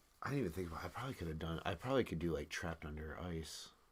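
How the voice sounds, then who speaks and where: A man talks at a very fast pace. His very deep, low voice is somewhat breathy. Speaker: live stream co-host. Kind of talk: casual chat. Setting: live stream.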